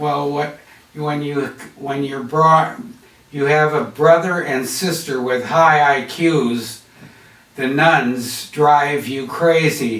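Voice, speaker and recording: Fairly high in pitch, a man with an American accent speaks at a very slow pace with fairly even intonation. Audible room echo surrounds his voice. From US Midwest, Chicago. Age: 80s+. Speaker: artist. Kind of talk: interview. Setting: on camera interview.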